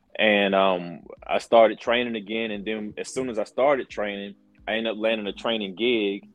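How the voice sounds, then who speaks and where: A man's fairly low, ordinary speaking voice with fairly even intonation at a moderate pace. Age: 40s. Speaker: pro wrestler and color commentator. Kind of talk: interview.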